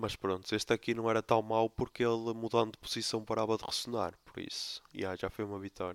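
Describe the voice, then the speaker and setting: Talking at a fairly quick pace with hardly any pauses, a man keeps a medium pitch and monotone, flat intonation. The recording is very clean, with a silent background and a dry, close sound with no echo. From Portugal, Póvoa de Lanhoso (Minho). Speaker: podcast host. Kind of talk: casual solo monologue.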